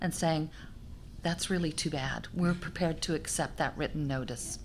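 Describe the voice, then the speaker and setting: Here a woman has a normal speaking voice. Her pitch is fairly low, with ordinary variation. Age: 60s. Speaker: senior leader in long-term care. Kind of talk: panel discussion.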